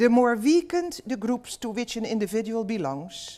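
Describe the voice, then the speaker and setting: A woman speaks at a fairly high pitch. Her voice swings very widely up and down. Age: 70s. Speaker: professor. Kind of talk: lecture.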